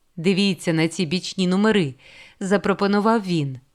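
The recording presents a natural reading voice.

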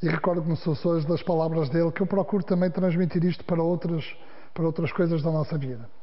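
Against a quiet background, a man with a high pitch speaks at a very fast pace, his loudness very even and his intonation fairly even. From northern Portugal, Guimarães; northern Portugal. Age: 50s. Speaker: sports manager and former journalist; former journalist. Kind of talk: interview. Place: studio.

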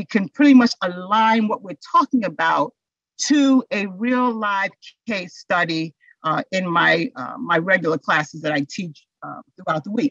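Over a quiet background, a woman speaks at a fairly slow pace with lively intonation in a dry sound with no echo. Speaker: instructor presenting on mental health. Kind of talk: lecture. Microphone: webcam.

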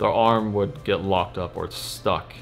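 A man's fairly low pitch and fairly even intonation, with light background noise. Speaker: photography vlogger. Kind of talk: casual vlog chat. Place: home room.

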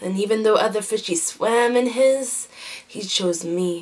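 Ordinary pitch variation in a woman's speech. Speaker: spoken word poet. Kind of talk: spoken word poetry performance. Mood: emotional, intense. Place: home room. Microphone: webcam.

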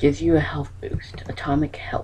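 Someone whispers over noticeable background noise. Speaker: gaming YouTuber. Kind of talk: gameplay commentary. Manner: animated.

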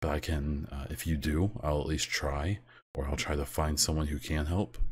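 This man's pitch is very deep and low, with fairly even intonation. His delivery is somewhat breathy at a moderate pace. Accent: American. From United States. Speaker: podcast host and streamer. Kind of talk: casual solo podcast monologue.

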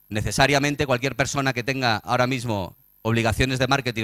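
Talking at a very fast pace, a man uses ordinary pitch variation. The background is quiet and the sound is dry with no echo. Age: 40s. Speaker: tourism marketing strategist; conference speaker. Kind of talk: conference talk. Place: hall.

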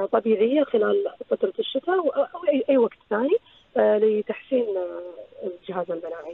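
Here a woman talks at a fairly high pitch and a moderate pace. Her pitch swings very wide. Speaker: nutritionist. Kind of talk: radio health interview.

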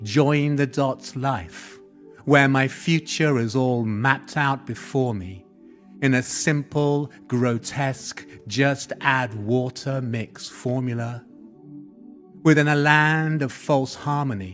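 Over music in the background, a medium-pitched man talks at a very slow pace with fairly even intonation. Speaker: spoken word poet. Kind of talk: spoken word poetry performance.

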